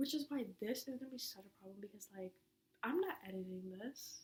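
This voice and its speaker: Somewhat breathy and fairly high in pitch, a woman talks at a fairly quick pace. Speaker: podcaster. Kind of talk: casual monologue. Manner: fast, rambling run-on speech. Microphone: laptop mic.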